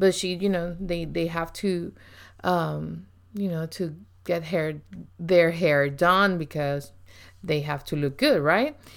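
In a strong Puerto Rican accent, a woman with a fairly low voice talks at a very slow pace with fairly even intonation and long, frequent pauses on a very clean recording with a silent background. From Puerto Rico. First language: Spanish. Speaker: ministry leader. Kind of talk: casual chat.

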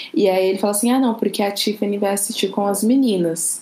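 At a fairly quick pace, a woman speaks in an unremarkable speaking voice of medium pitch with ordinary pitch variation. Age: 20s. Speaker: podcast guest, R&B and TV series fan. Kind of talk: casual chat.

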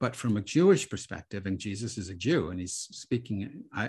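A somewhat breathy voice talks at a fairly quick pace over a quiet background. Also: man. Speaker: rabbi and author. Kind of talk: interview conversation. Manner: thoughtful, explanatory.

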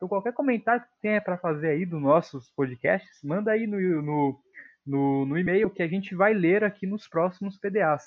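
The speech has ordinary pitch variation and a moderate pace, with big swings in loudness. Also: man, high pitch for a man. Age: young. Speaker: podcast co-host. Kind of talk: casual chat.

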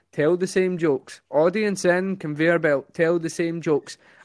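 A man with a Scottish accent speaks at a high pitch with ordinary pitch variation. The recording is very clean, with a silent background and a dry, close sound with no echo. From Scotland, Ayrshire (Kilmarnock). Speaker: comedian. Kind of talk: casual chat. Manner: fast talker; animated.

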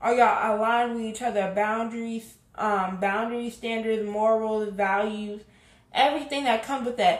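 Her pitch is fairly high and her intonation fairly even. This woman is heard with audible room echo. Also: moderate pace. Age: 20s. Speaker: podcast host. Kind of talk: casual commentary monologue.

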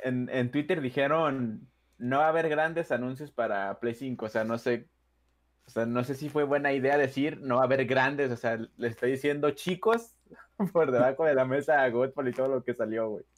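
A man talks at a moderate pace in a medium pitch. He has an ordinary speaking voice with ordinary pitch variation. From Mexico. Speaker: podcast co-host. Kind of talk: casual chat.

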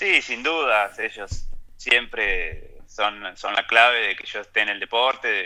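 A man speaks with music in the background. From Argentina, Ayacucho (Buenos Aires province). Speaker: mountain bike racer and cycling coach. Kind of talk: interview, casual chat.

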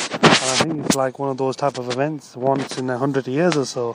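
A man at a fairly quick pace, fairly high in pitch, with fairly even intonation and noticeable background noise. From Britain. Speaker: podcast host, entrepreneur and coach. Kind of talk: casual interview. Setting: outdoors.

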